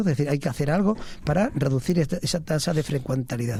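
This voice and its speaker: A man speaks at a very fast pace with a fairly high pitch. His tone is dark and mellow, and somewhat breathy. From Spain, Ávila province (Valle del Tiétar). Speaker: family doctor, medical association president. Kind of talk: radio interview. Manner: measured, with frequent hesitations.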